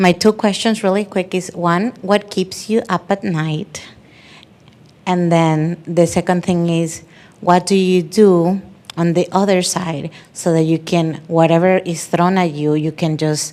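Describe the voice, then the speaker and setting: In a dark, mellow tone, a woman with a fairly low pitch talks at a fairly slow pace with fairly even intonation. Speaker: audience member asking questions. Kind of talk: audience question. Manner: loud.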